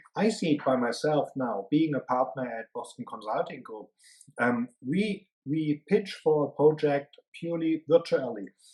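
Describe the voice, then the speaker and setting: With a strong German accent, a man talks fairly slowly in a fairly high pitch, using lively intonation and big swings in loudness. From Germany. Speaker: management consultant. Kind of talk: interview. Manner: hesitant, many fillers.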